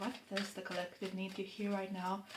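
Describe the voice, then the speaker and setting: Room echo and noticeable background noise can both be heard as a woman speaks. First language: not English. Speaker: tarot reader. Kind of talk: tarot reading monologue. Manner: unhurried, pausing to find words.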